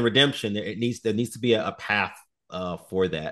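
In an American accent, a man talks with a plain, everyday voice and ordinary pitch variation against a quiet background. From Chicago. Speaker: actor and military veteran. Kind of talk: casual interview chat.

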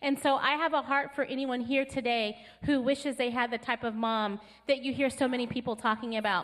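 With an American accent, a woman speaks at a high pitch. Her pace is fairly quick. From California. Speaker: pastor. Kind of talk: sermon. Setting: church. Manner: animated, joyful.

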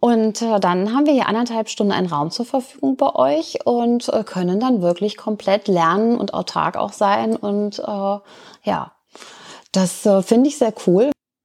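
Speaking at a fairly slow pace, this is a normal speaking voice with lively intonation. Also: woman, medium pitch for a woman. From Lower Saxony, Germany. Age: 50s. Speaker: volunteer tutor. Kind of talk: interview.

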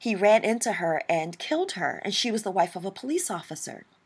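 A woman with an American accent has an unremarkable speaking voice, pitched fairly high. The recording is very clean, with a silent background. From US Midwest, St. Louis, Missouri. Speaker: podcast host, ministry leader. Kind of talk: personal testimony.

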